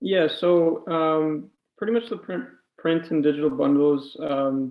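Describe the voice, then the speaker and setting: Pausing long and often, a man talks at a very slow pace with fairly high pitch and lively intonation. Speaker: comic book writer. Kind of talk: interview. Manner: halting, many fillers.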